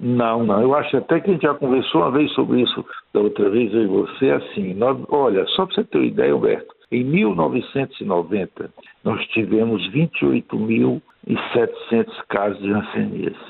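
Keeping a very even loudness, a man speaks at a fairly slow pace. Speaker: dermatologist. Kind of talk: radio interview.

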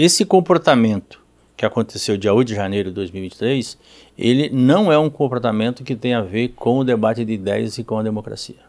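On a very clean recording with a silent background, a man speaks at a moderate pace, his medium pitch showing ordinary pitch variation. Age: 50s. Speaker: politician. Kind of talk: interview. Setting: studio. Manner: halting, many repetitions and fillers.

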